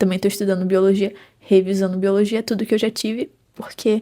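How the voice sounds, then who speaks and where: With a Rio de Janeiro accent, a woman speaks at a medium pitch and with fairly even intonation as music plays in the background. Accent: carioca (Rio de Janeiro). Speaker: psychology student and book vlogger. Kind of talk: casual vlog chat.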